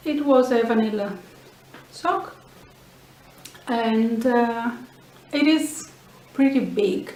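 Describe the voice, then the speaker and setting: A woman with a Greek accent speaks at a very slow pace and high pitch, with ordinary pitch variation and long, frequent pauses. Audible room echo and noticeable background noise fill the recording. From Greece. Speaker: knitting and sewing podcaster. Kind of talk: casual show-and-tell podcast. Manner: hesitant, with fillers.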